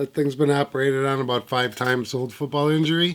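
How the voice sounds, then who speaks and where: The man's fairly high voice moves at a moderate pace. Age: 60s. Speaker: guitarist. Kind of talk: casual vlog talk. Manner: casual, hesitant with fillers.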